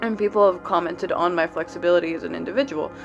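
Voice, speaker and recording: Music plays in the background as a woman speaks. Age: young. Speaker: student on gap year. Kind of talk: casual vlog talk to camera.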